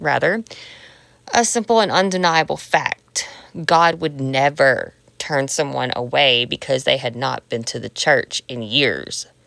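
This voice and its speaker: A woman's very deep, low-pitched voice with lively intonation, fairly slow, in a dry, close sound with no echo. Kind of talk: personal memoir narration. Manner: unfiltered, personal.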